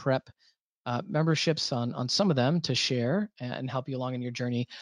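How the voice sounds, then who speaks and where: In a normal speaking voice with ordinary pitch variation, the speaker goes at a fairly quick pace in a dry, close sound with no echo. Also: man. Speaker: webinar host and company founder. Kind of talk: webinar panel moderation with sales pitch. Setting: online webinar.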